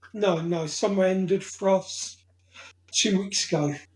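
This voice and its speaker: A man speaks with a southern English accent. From south coast of England. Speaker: hot sauce reviewer. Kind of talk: casual interview.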